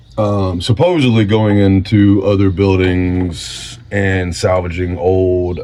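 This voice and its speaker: Amid noticeable background noise and audible room echo, a man speaks with a very deep, low pitch. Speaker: vlogger. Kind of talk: casual chat. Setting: home garage workshop. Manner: halting.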